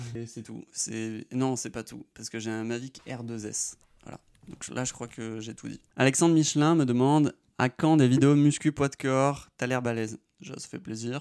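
On a very clean recording with a silent background, a man at a medium pitch talks at a fairly slow pace with fairly even intonation and big swings in loudness. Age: 20s. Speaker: drone pilot YouTuber. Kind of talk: Q&A video. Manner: casual.

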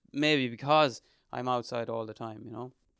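On a very clean recording with a silent background, a man with an Irish midlands accent speaks at a medium pitch. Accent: Irish (north midlands). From Ireland, County Leitrim. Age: 30s. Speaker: ultra trail runner. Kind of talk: interview.

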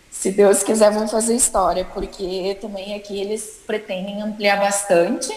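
Over noticeable background noise, a woman at medium pitch talks at a fairly slow pace in a flat monotone, with hardly any pauses. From Rio Grande do Sul, Brazil (Caxias do Sul). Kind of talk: interview.

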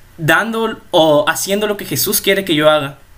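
Raising and projecting his voice, a man speaks at a fairly slow pace with a high pitch and ordinary pitch variation. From Mexico, La Paz, Baja California Sur. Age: young. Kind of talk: casual religious chat.

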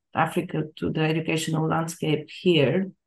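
A woman's plain, everyday voice, fairly low in pitch, at a moderate pace. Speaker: academic interviewer. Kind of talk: interview.

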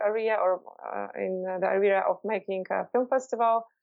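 A woman's medium-pitched, flat, monotone voice at a moderate pace, with music in the background. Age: 30s. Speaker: film festival director. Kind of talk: interview. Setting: Skype call.

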